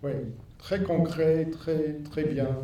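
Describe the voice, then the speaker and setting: A man at a very slow pace, with audible room echo. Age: 60s. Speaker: filmmaker. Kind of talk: post-screening Q&A. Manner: halting.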